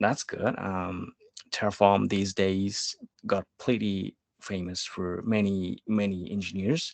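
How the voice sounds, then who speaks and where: Very slowly and at a fairly low pitch, a man speaks with fairly even intonation. The background is quiet. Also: dry, close sound with no echo. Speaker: developer advocate giving a tech talk. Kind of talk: technical presentation. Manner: slow, deliberate pace.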